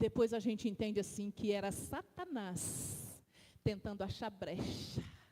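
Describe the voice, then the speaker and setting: This woman's voice has a dark, mellow tone and a somewhat breathy quality, sitting at a medium pitch with ordinary pitch variation and a fairly slow pace. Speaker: deaconess preaching in church. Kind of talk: sermon. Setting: church. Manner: animated; slow, deliberate.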